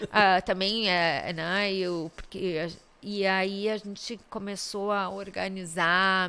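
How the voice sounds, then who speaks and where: In a bright, sharp tone, a woman at a medium pitch speaks at a very slow pace with monotone, flat intonation. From southern Brazil, Caxias do Sul. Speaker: public prosecutor. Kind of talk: interview conversation. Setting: studio podcast.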